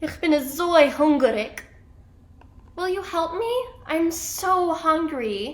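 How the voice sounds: A woman uses a put-on character voice at an extremely high pitch, with big pitch swings and a slow pace. Room echo is audible.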